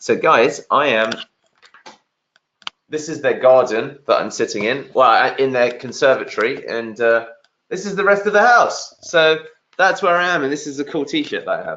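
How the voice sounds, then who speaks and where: A man with a London accent at a moderate pace, broken by long, frequent pauses. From London, England. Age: 30s. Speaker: SEO agency founder, webinar speaker. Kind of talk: webinar presentation. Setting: video call from sister's conservatory. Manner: repetitive filler-heavy delivery.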